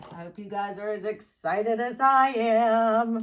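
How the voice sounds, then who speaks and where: At a very slow pace, a woman with an American accent speaks in a fairly high pitch with a bright, sharp tone. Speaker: fluid art painter, channel host. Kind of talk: tutorial with announcements. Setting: home art studio, far from camera. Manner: loud, raised voice; casual, chatty. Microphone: microphone not plugged in, on camera mic far away.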